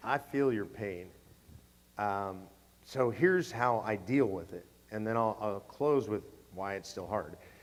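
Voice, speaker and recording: In a West Coast US accent, a man speaks at a moderate pace. His medium pitch shows ordinary variation. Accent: General American, West Coast. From California. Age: 60s. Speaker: advocacy group president. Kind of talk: Q&A at a conference. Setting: stage with audience.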